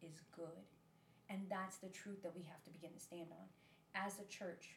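A woman's somewhat breathy voice at medium pitch and moderate pace, with fairly even intonation. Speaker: podcast host. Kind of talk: casual chat, faith podcast.

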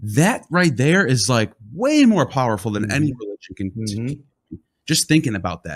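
The somewhat breathy voice moves at a fairly quick pace, with very wide pitch swings and big swings in loudness. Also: man, medium pitch for a man. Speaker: podcast host. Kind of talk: casual podcast conversation.

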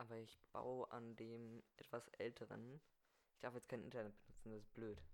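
This is a man speaking at medium pitch. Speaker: podcast host. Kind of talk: improvised solo monologue. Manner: fast.

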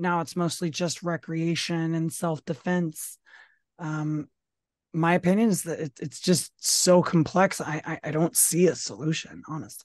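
A woman with an American accent and a plain, everyday voice speaks at a fairly slow pace and fairly low pitch, her intonation fairly even, in a dry, close sound with no echo and a quiet background. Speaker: podcast co-host. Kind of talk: casual political discussion.

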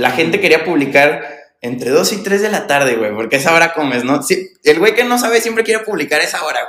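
A man at a fairly quick pace, fairly high in pitch, with very wide pitch swings. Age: 20s. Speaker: entrepreneur, fashion brand founder. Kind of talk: casual interview chat. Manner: casual, slangy.

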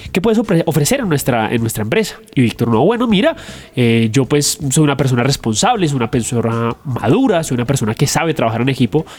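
A man's fairly high-pitched voice at a fairly quick pace, lively in intonation, against noticeable background noise. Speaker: podcast co-host. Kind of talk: casual chat. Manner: joking banter with laughter.

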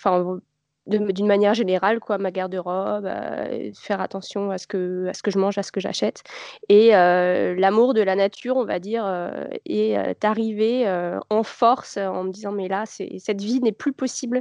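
This is a normal speaking voice at a fairly slow pace with fairly even intonation. The background is quiet and the sound is dry and close with no echo. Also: woman, medium pitch for a woman. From Paris region, France. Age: 30s. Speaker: knitwear designer and charity founder. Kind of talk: casual interview.

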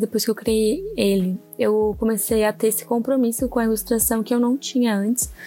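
Her pitch fairly high and her tone dark and mellow, a woman speaks at a moderate pace. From southern Brazil, Santa Catarina (Orleans). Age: 20s. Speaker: podcast host, illustrator. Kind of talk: casual solo monologue.

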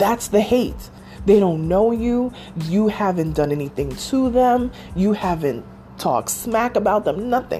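A woman's medium-pitched, lively voice at a fairly slow pace against noticeable background noise. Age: 40s. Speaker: podcast host. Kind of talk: casual chat.

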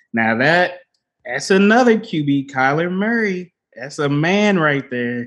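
The speaker has a normal speaking voice with lively intonation. The pace is fairly slow. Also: man. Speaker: podcast co-host. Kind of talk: casual chat. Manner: casual, conversational.

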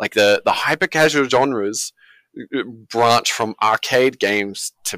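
On a very clean recording with a silent background, a man with an Australian accent speaks at a fairly slow pace in a bright, sharp tone, the sound dry and close with no echo. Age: 30s. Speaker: indie game studio founder. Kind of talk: casual interview.

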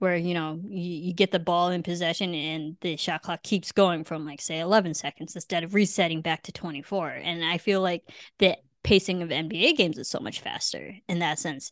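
A woman's plain, everyday voice with a General American accent, fairly low in pitch, at a fairly quick pace, dry and close with no echo, over a quiet background. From US Midwest. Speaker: podcast host. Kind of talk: casual chat.

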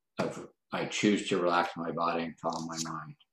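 A man speaks at a fairly slow pace. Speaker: mental fitness coach for athletes. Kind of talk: interview.

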